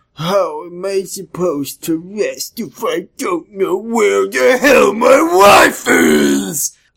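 A man in a put-on character voice speaks at a very slow pace and a high pitch, with hardly any pauses. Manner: annoyed, attitude; demanding.

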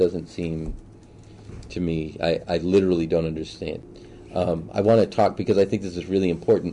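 A man speaks with a very deep, low pitch, vocal fry and a dark, mellow tone. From Boston. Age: 40s. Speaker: city council candidate. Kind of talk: interview. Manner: halting.

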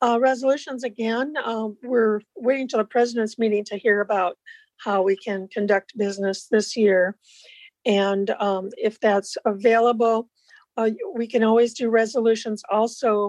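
In a plain, everyday voice, a woman with an American accent speaks at a moderate pace, fairly high-pitched with fairly even intonation, in a dry, close sound with no echo. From Iowa. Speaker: board secretary and retired vendor. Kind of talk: meeting business. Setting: video call.

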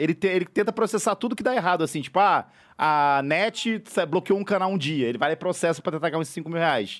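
On a very clean recording with a silent background, the speech moves at a fairly quick pace with lively intonation. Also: man. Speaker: podcast host. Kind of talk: casual chat. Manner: animated.

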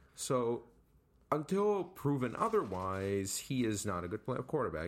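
A normal speaking voice from a man with an American accent, lively intonation and a moderate pace, on a very clean recording with a silent background. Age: 18. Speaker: sports podcast co-host. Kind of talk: casual chat.

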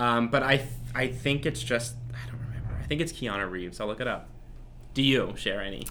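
In an American accent, a man speaks at medium pitch and a fairly quick pace with a bright, sharp tone and audible room echo. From US Northeast, New Jersey. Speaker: podcast co-host. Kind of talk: casual chat; scripted intro.

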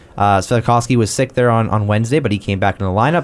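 A man with a Canadian accent talks at a fairly quick pace in an ordinary speaking voice. His pitch is fairly low, with ordinary pitch variation. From Canada. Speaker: sports podcast host. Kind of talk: casual chat.

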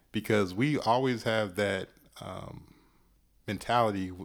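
On a very clean recording with a silent background, a man with an ordinary speaking voice talks at a fairly slow pace and fairly low pitch, with ordinary pitch variation. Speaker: podcaster and hip-hop writer. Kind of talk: casual interview chat.

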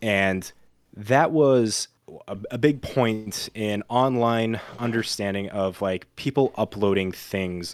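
A man talks in a normal speaking voice at fairly low pitch. His pitch variation is ordinary. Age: 20s. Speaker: podcast co-host. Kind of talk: casual chat.

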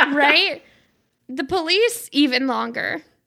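A woman with an American accent in a raised, projected voice with very wide pitch swings. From US South. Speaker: podcast guest. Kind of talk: casual chat.

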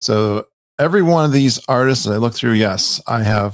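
The sound is dry and close, with no echo. Delivered at a fairly quick pace with an American accent, the speech has ordinary pitch variation. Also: man. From Connecticut. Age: 50s. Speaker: podcaster. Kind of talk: casual chat. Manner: animated.

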